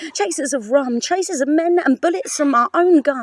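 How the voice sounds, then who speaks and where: A woman speaks at an extremely high pitch, the sound dry and close with no echo, over noticeable background noise. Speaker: spoken word poet. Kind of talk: spoken word poetry performance. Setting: outdoors on a farm with animal noises.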